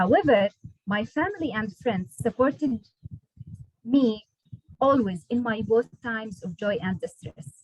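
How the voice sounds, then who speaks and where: Lively intonation marks a woman's somewhat breathy, fairly high voice. She speaks at a fairly slow pace with long, frequent pauses, in a dry, close sound with no echo. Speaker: nurse and PhD student. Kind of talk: prepared speech. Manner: halting.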